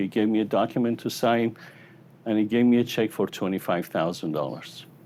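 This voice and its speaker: A man with a non-native accent talks at a fairly quick pace in a dark, mellow tone. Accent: noticeable foreign. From Iran. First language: Persian. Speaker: psychologist and motivational speaker. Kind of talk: motivational keynote speech. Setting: stage with audience. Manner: animated storytelling.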